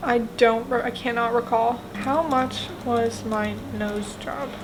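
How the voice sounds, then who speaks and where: A woman talks over noticeable background noise, her voice carrying audible room echo. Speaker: YouTube vlogger. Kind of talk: casual vlog Q&A. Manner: casual, filler-heavy.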